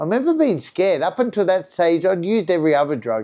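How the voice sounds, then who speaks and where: A man speaks in a strong Australian accent with a dark, mellow tone. His pace is fairly quick and his intonation lively. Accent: broad Australian. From Australia, Sydney western suburbs. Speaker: recovered addict sharing his story. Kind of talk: personal storytelling monologue. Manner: fast; casual, many fillers.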